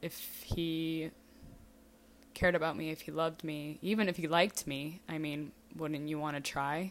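A woman speaks with a very deep, low pitch. She keeps to a fairly slow pace. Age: 20s. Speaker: personal podcaster. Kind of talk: personal monologue. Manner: frequent laughing.

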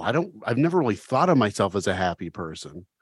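The sound is close and dry, without any echo. A man talks with a quiet background behind him. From Ohio (Oxford). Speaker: recovery comedian and former radio host. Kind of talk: casual chat. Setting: video call. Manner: animated.

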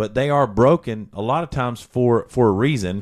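This man talks in an animated tone at a medium pitch. The recording is very clean, with a silent background. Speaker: pastor and podcast host. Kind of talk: casual religious discussion. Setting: livestreamed video.

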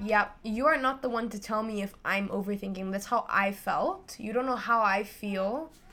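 A woman with an unremarkable speaking voice talks at a moderate pace with hardly any pauses. Her pitch is fairly high and varies in an ordinary way. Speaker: university student. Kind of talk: casual chat.

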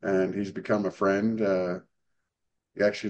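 Fairly quick and monotone, a man with an American accent speaks in a fairly low, flat voice. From Virginia. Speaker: podcast host. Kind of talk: interview.

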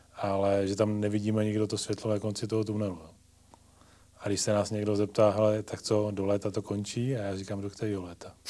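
Dark and mellow in tone, the voice moves at a fairly quick pace with monotone, flat intonation. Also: man, fairly low pitch for a man. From South Moravia, Czechia. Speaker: hospital executive. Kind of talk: casual interview.

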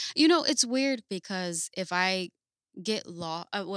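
Here is an ordinary speaking voice: a woman with an American accent, medium pitch and lively intonation. The sound is dry and close with no echo, a very clean recording with a silent background. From Paterson, New Jersey. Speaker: tattoo artist. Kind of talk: casual interview. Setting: tattoo shop.

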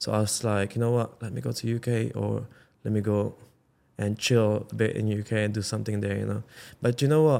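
A man talks fairly quickly in a dark, mellow tone at a fairly low pitch, with fairly even intonation. The recording is very clean, the background silent. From Philippines. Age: 30s. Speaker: magician. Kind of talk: casual chat. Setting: video podcast studio. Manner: relaxed, laid-back.

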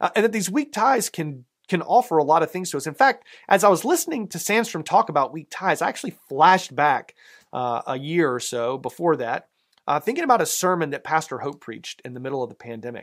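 A man with a Southern US accent, high-pitched and fairly quick, with very wide pitch swings and big swings in loudness, on a very clean recording against a silent background. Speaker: pastor. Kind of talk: sermon. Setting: church. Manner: conversational, with fillers.

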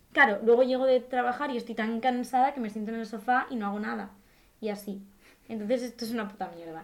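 A woman talks at a very fast pace and a fairly high pitch, her loudness swinging widely. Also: fairly even intonation. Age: 20s. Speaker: actress. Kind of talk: casual chat.

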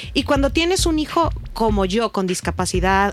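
Here a woman speaks at a medium pitch. The sound is dry and close, with no echo. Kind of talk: personal testimony in casual chat. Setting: studio. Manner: emotional, voice breaking at times.

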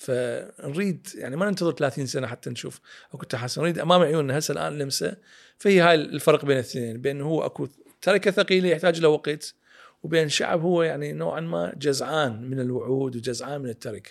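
This man's pitch sits fairly high. He talks at a moderate pace with ordinary pitch variation. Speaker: political and economic analyst. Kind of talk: interview discussion.

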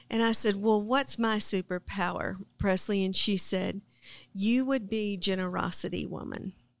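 A woman with an American accent talks at a moderate pace in a medium pitch, with fairly even intonation and an unremarkable speaking voice. The recording is very clean, with a silent background. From South Texas. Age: 40s. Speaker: podcast co-host. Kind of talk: casual chat.

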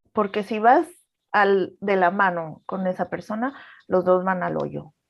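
Against a quiet background, a woman of medium pitch speaks at a very slow pace with ordinary pitch variation. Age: 30s. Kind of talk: personal testimony in casual chat.

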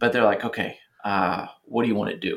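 A man of medium pitch at a fairly quick pace. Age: 30s. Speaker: podcast co-host. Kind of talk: casual chat. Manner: animated.

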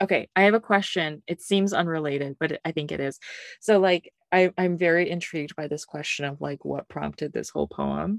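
On a very clean recording with a silent background and a dry, close sound with no echo, a woman in an ordinary speaking voice talks at a fairly quick pace, her fairly low pitch showing ordinary variation. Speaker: podcast co-host and teacher. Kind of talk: casual chat about poetry.

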